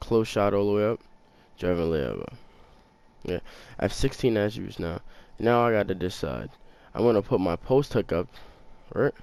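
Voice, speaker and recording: A quiet man speaks at a moderate pace and fairly low pitch, with ordinary pitch variation and long, frequent pauses. The recording is very clean, with a silent background. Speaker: gaming YouTuber. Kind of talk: gameplay tutorial. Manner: quiet, talking low; casual, slangy.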